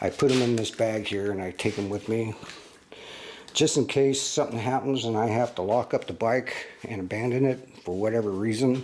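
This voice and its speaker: The man's voice is medium in pitch. He talks at a moderate pace. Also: fairly even intonation. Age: 60s. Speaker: product reviewer. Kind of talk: casual product walkthrough. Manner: casual, halting with fillers.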